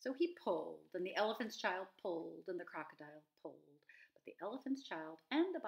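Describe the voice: This is plain reading aloud. The words are read out plainly.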